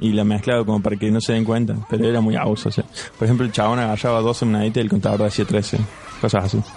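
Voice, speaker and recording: With noticeable background noise behind him, a man speaks at a very fast pace in a fairly low pitch. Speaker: podcast co-host. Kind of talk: casual chat.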